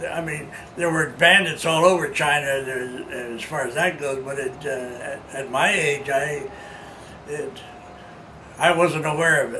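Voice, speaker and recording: A man speaks at a fairly slow pace with fairly even intonation and long, frequent pauses over noticeable background noise. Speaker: war veteran. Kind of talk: interview answer.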